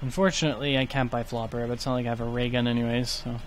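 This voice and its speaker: Soft-spoken, a man talks at a very fast pace in a medium pitch. Room echo can be heard. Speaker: gaming YouTuber. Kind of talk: gameplay commentary. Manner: soft-spoken, trails off.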